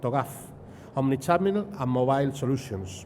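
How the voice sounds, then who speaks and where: At a moderate pace, a man with a Spanish accent talks at a medium pitch. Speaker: event host. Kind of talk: speaker introduction.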